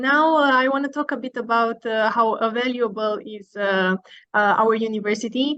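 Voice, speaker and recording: A woman in a Romanian accent, fairly high in pitch, with ordinary pitch variation and a moderate pace. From Romania, Bucharest. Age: 20s. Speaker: university student. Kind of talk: informational presentation. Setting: online video call.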